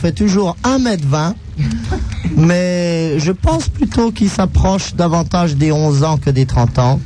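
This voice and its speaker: A man at a very slow pace with ordinary pitch variation, noticeable background noise behind him. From France, aristocratic family. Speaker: radio co-host. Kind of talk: casual radio banter. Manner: formal, refined.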